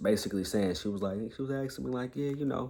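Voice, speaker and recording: Audible room echo on a man's voice in an American accent. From Detroit, US. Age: 20s. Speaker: vlogger and community college student. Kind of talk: casual vlog monologue. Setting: at grandmother's house, talking to camera. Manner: halting, many fillers.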